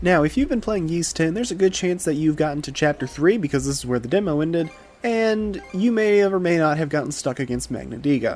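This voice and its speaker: A fairly quick pace over music in the background. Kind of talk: game guide narration. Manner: casual.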